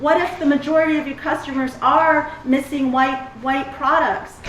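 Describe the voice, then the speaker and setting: Over noticeable background noise and audible room echo, a woman speaks in an animated tone at a high pitch and a moderate pace. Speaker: extension specialist in agricultural marketing. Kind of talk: conference presentation. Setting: stage with audience.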